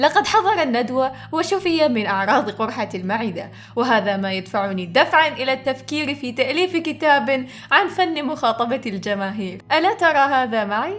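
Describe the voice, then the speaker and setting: A woman with a high pitch speaks at a fairly slow pace with very wide pitch swings and hardly any pauses. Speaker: aspiring voice-over artist. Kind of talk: humorous story narration. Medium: read story.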